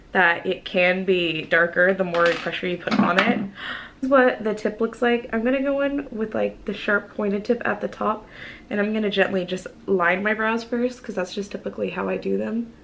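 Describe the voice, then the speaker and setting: Noticeable noise fills the background. The woman's medium-pitched voice rises and falls in an ordinary way. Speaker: beauty vlogger. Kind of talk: makeup tutorial. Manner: casual.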